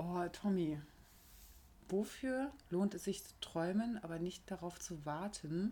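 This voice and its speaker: Her voice has a fairly low pitch and a dark, mellow tone. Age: 30s. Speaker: podcast co-host. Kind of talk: casual chat. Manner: animated.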